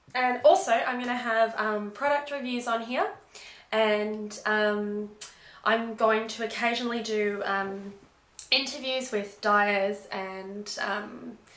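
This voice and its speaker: A woman's fairly high voice at a very slow pace, with fairly even intonation and audible room echo. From Australia (Melbourne). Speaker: knitting vlogger. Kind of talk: casual vlog chat. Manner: hesitant, many ums.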